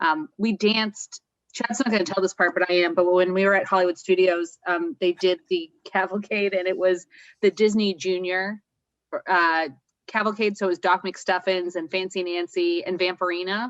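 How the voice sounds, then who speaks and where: Recorded with a dry, close sound and no echo, a woman with an unremarkable speaking voice talks at a moderate pace, her medium pitch following a fairly even intonation. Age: 30s. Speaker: travel agent. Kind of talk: casual chat.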